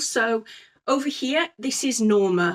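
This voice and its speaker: A woman with a high-pitched voice and lively intonation. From Scotland, with North East England roots. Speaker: sewing vlogger. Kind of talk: casual chat. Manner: hesitant, with frequent ums.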